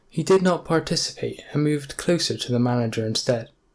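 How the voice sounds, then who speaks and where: A man with an unremarkable speaking voice speaks at a moderate pace with ordinary pitch variation. The recording is very clean, with a silent background. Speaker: audiobook narrator. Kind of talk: audiobook narration of a novel.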